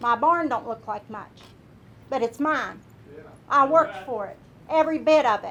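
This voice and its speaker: Spoken with an Appalachian accent at a moderate pace, this voice has lively intonation, long and frequent pauses, and big swings in loudness. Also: woman, high pitch for a woman. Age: 60s. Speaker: retired coal miner, public commenter. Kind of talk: public comment at county meeting. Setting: meeting room podium. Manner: animated.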